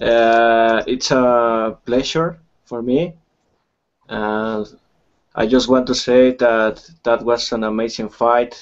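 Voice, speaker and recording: A man with a Spanish accent talks at a very slow pace. His pitch is medium and his intonation fairly even. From Mexico. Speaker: fan. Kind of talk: fan question in video chat. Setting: video call. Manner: halting.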